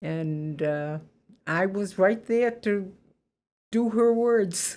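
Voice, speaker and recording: Speaking at a very slow pace with ordinary pitch variation, a woman has a dark, mellow tone and a slight Boston accent. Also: medium pitch for a woman. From Boston, Massachusetts (Roxbury). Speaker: interviewee sharing life story. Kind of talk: life story interview.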